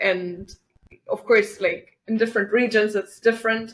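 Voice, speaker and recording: A woman speaks with a German accent. Her intonation stays fairly even. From Germany. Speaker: feminist activist. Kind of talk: podcast interview. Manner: halting, many fillers.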